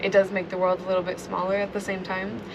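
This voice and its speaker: The speaker has an American accent and a monotone, flat intonation. Noticeable background noise is present. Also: woman. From US Pacific Northwest, Seattle. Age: young (19). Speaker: aspiring filmmaker, traveler. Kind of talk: interview. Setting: at host's home. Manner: casual, many fillers.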